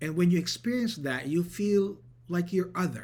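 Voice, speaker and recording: A man with a Filipino accent, high-pitched with a dark, mellow tone and ordinary pitch variation, at a fairly slow pace with audible room echo. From Philippines. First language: Tagalog. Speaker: pastor. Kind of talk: sermon.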